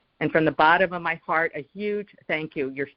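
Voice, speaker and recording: Speaking at a fairly quick pace, a woman talks. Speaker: caller. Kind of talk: call-in question to guest. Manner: fast; hesitant, many fillers.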